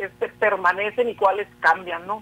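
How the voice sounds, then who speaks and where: The speaker has a Sinaloan accent and a moderate pace. Noticeable background noise runs underneath. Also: man. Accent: Sinaloa. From Mexico, Sinaloa (Culiacán). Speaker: social science researcher. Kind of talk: interview. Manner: hesitant, many fillers.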